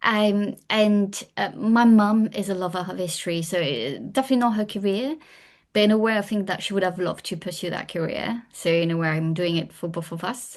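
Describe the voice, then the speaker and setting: Against a quiet background, a woman talks in a French accent. Her pitch sits in the medium range. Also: ordinary pitch variation, fairly quick pace. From France. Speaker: historian and author. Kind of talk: podcast interview.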